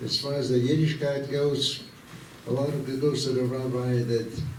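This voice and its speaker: A man with an Austrian accent at a moderate pace, fairly even intonation, audible room echo and noticeable background noise. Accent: Austrian German-tinged American English. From Vienna, Austria. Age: 90s. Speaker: war veteran. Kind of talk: talk to students. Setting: school assembly.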